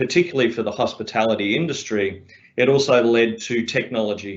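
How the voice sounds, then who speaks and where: Against a quiet background, a man talks at a moderate pace with a medium-pitched voice. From Australia. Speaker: fitness business owner. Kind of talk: panel talk.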